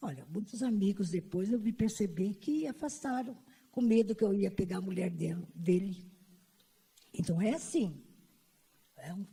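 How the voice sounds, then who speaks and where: With a dark, mellow tone and a somewhat breathy quality, a woman at medium pitch speaks at a moderate pace, her intonation lively and her pauses long and frequent. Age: old. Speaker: panelist at an LGBT conference. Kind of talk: personal testimony at a panel. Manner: halting, with repetitions.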